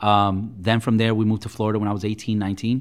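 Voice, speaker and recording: Recorded very cleanly over a silent background, a man with a plain, everyday voice speaks at a fairly low pitch and a fairly quick pace. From New York City (Queens), born in Puerto Rico. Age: 40s. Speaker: real estate broker. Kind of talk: interview.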